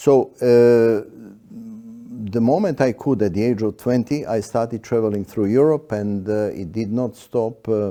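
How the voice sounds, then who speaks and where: On a very clean recording with a silent background, a man speaks at a fairly slow pace in a dark, mellow tone. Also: medium pitch for a man, ordinary pitch variation. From Yugoslavia. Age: 70s. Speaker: iconographer artist. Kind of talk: interview. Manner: hesitant, many fillers.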